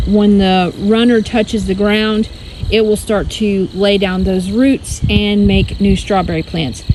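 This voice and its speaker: Noticeable background noise sits behind the voice. The delivery is fairly slow, with fairly even intonation. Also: woman, medium pitch for a woman, very even loudness. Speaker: homesteading vlogger. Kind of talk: casual vlog walkthrough. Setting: outdoors in garden.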